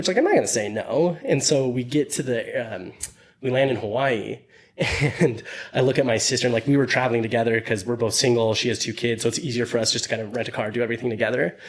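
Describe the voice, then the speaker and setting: A man with a medium pitch and ordinary pitch variation talks at a very fast pace. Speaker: podcast host. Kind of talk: casual chat. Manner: mumbling.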